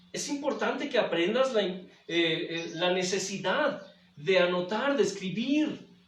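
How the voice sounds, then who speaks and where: A man talks at a very slow pace in a high pitch with lively intonation. Noticeable background noise and audible room echo are present. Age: 60s. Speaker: pastor. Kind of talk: sermon. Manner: repetitive, halting.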